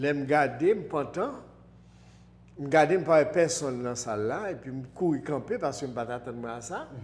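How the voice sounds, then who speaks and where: With a Haitian accent, a man speaks at a fairly high pitch, his intonation lively and his loudness swinging widely. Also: moderate pace. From Haiti, Port-au-Prince. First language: Haitian Creole (speaking French). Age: 60s. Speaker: spiritual teacher. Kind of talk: interview. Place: studio. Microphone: lapel.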